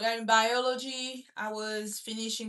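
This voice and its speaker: A bright, sharp tone in a French accent. The pace is fairly slow. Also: woman. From Gabon. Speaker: student livestreamer. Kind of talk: casual chat. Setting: livestream.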